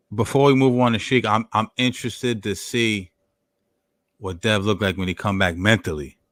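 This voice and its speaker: A man with an American accent talks at a fairly quick pace, his fairly low voice showing ordinary pitch variation. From New York. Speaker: boxing podcast host. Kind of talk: casual chat. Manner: halting.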